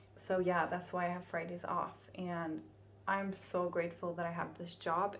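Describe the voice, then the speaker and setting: Speaking in a flat monotone at a fairly slow pace, a woman with a fairly low voice is heard over audible room echo. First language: Finnish. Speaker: vlogger. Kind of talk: casual vlog monologue.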